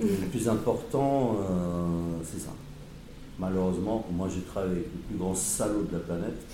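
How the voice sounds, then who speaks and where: Over noticeable background noise and audible room echo, a man with a very deep, low voice talks at a fairly slow pace with ordinary pitch variation. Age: 50s. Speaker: former prisoner. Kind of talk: testimony.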